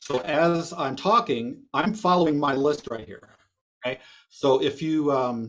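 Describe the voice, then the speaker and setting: This man's voice sits at a fairly high pitch and has lively intonation. His loudness swings widely. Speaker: computer repair business owner and instructor. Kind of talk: webinar presentation. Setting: video call. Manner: fast; casual.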